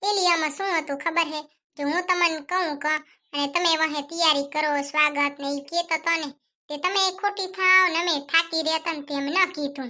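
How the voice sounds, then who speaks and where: Using a cartoonish character voice, a woman talks at an extremely high pitch with fairly even intonation at a moderate pace. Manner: easygoing, chatty.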